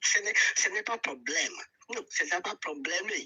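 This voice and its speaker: A man speaks at a very fast pace with a strong Nigerian accent. His pitch swings very widely. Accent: Nigerian, very thick. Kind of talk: casual chat.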